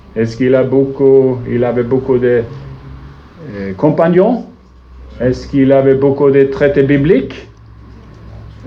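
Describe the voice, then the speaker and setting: A man with a Swedish accent speaks at a medium pitch. Room echo is audible, and there is noticeable background noise. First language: Swedish (speaking French). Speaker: visiting preacher. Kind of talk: sermon. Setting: church. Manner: halting, searching for words.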